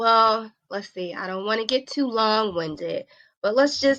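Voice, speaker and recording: Lively intonation marks this woman's speech. Her medium-pitched voice has a bright, sharp tone. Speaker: health and wellness coach, former nurse. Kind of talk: interview, personal testimony.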